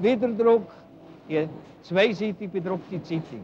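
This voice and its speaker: Over light background noise, a man speaks at a high pitch with ordinary pitch variation. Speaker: regional newspaper editor. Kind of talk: 1965 documentary film narration, explaining the print shop. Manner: plain, homely, unhurried, folksy. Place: workshop. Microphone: old recording.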